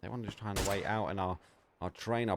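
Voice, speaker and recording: This is a man with an Essex accent. His intonation stays fairly even. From England, Essex. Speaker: esports caster. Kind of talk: live commentary. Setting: live stream. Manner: fast.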